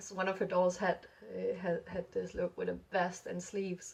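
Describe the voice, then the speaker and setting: This is a woman speaking. Her pace is fairly slow. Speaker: doll hobby vlogger. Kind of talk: casual vlog chat. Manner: mumbling, many fillers.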